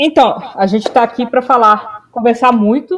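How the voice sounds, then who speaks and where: A woman talks at a moderate pace. Her voice is high-pitched. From Belo Horizonte, Minas Gerais, Brazil. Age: 20s. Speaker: podcast co-host. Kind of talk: casual chat.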